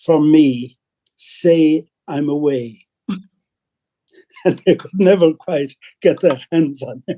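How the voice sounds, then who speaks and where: A man with an Irish accent speaks at a fairly slow pace in a fairly high pitch, his dark, mellow tone showing ordinary pitch variation in a dry, close recording with no echo. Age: 70s. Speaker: priest. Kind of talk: panel discussion. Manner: halting.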